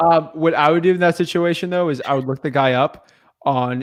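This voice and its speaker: A man with a fairly high voice, an unremarkable speaking voice, at a moderate pace with fairly even intonation, on a very clean recording with a silent background. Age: 20s. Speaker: real estate wholesaling coach. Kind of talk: casual chat.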